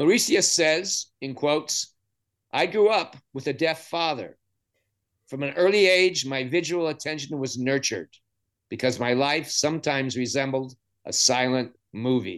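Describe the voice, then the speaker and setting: Against a quiet background, a man with a fairly high pitch speaks at a moderate pace, using ordinary pitch variation and long, frequent pauses. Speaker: podcast host. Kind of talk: interview with scripted intro. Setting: video call.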